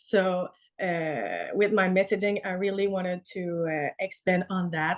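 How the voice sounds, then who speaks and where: Medium in pitch and fairly even in intonation, a woman speaks at a moderate pace. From Canada. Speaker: tattoo artist. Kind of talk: podcast interview. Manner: hesitant, searching for words.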